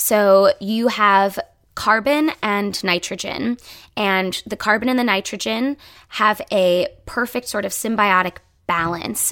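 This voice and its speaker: A woman with an American accent uses a normal speaking voice at a medium pitch, with ordinary pitch variation and a fairly slow pace. The recording is very clean and dry, close with no echo, over a silent background. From rural Ohio, east of Cleveland. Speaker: actor and sustainability podcast host. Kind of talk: casual interview chat.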